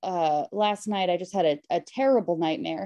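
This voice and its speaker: A woman with an American accent has a dark, mellow tone and lively intonation. Her sound is dry and close, with no echo. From Connecticut, family from Queens. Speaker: comedian. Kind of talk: casual chat. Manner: halting, many fillers.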